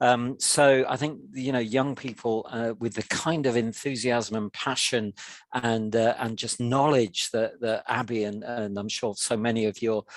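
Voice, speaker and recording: A man's plain, everyday voice with fairly even intonation, a fairly slow pace and hardly any pauses, in a quiet background. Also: medium pitch for a man. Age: 60s. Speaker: charity head of policy. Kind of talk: panel Q&A webinar.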